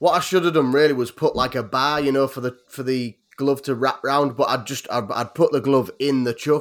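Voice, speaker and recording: A man's fairly high-pitched, fairly quick speech with a Yorkshire accent. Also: very clean recording, silent background. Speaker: YouTuber who makes weapons. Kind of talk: casual chat. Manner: laughs often.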